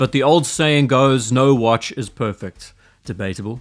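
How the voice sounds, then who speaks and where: A man's voice with ordinary pitch variation against a quiet background. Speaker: watch reviewer. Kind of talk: commentary. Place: home room. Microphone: studio mic.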